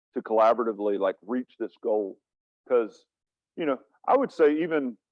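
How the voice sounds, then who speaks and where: A man speaks with an American accent. His pitch is medium, with ordinary pitch variation. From US South. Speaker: wildlife biologist. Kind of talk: seminar Q&A answer. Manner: hesitant, many fillers.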